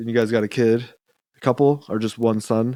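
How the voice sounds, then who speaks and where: A man with an American accent talks fairly slowly at a medium pitch. His dark, mellow tone comes through a very clean recording with a silent background. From US South, Georgia. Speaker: podcast host. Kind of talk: casual chat.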